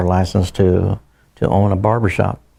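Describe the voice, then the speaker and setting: The voice has a dark, mellow tone and a monotone, flat intonation. It keeps a moderate pace. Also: man. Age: 70s. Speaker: barber. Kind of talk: oral history interview. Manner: halting, many fillers and repetitions.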